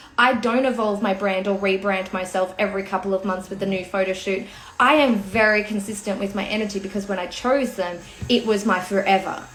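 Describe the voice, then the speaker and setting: Noticeable background noise and audible room echo around a fairly quick delivery. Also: woman. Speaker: personal branding coach. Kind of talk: livestream talk. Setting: home livestream. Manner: animated.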